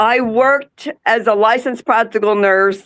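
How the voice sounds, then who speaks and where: A woman's fairly high voice in a New Jersey accent at a fairly slow pace. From central New Jersey. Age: 60s. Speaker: caregiver and Alzheimer's advocate. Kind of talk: interview podcast. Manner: hesitant, many fillers.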